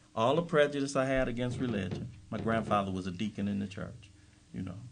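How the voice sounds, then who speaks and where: A man with an unremarkable speaking voice talks at a fairly quick pace. His pitch variation is ordinary. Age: 50s. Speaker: recovery speaker. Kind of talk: workshop talk.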